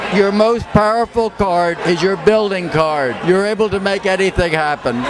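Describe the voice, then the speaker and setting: A high-pitched man's voice over noticeable background noise. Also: ordinary pitch variation, moderate pace. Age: 70s. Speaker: drag performer and tarot reader. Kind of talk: tarot reading. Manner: theatrical.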